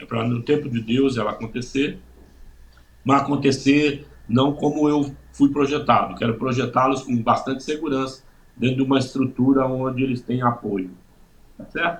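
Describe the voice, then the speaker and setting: This man's voice is somewhat breathy and medium in pitch. His intonation stays fairly even. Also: moderate pace. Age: 60s. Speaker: pastor. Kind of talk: testimony. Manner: halting, many fillers.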